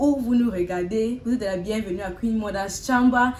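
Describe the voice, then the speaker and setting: Noticeable background noise sits behind a woman's voice. She speaks at a fairly slow pace with a fairly high pitch and ordinary pitch variation. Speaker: talk show host. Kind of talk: casual chat. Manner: halting.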